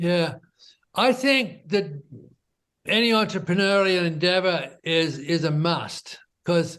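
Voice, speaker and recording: A high-pitched man with an Australian accent, fairly even intonation, and a quiet background. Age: 70s. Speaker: entrepreneur. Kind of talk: interview.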